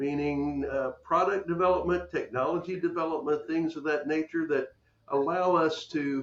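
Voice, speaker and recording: The speaker talks with an American accent at a moderate pace and with fairly even intonation. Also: man, fairly high pitch for a man. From Texas. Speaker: podcast host. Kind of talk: interview.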